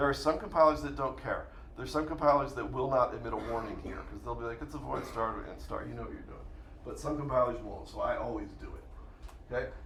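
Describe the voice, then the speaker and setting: At a very fast pace, the man talks through noticeable background noise and audible room echo. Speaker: university professor. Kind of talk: lecture.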